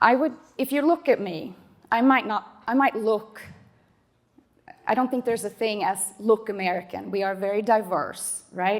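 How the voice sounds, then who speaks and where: With a Swedish accent, a woman speaks at a moderate pace and a fairly high pitch, using ordinary pitch variation and long, frequent pauses. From Sweden, Stockholm. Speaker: panelist, immigrant community coordinator. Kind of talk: panel discussion.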